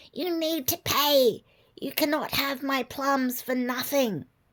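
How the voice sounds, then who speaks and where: A put-on character voice, female-sounding and high-pitched for a woman, at a fairly slow pace. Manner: demanding, haughty.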